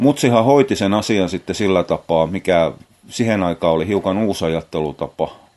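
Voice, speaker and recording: A man's very deep, low voice with ordinary pitch variation at a moderate pace. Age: 50s. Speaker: podcaster. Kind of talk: casual monologue. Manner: halting.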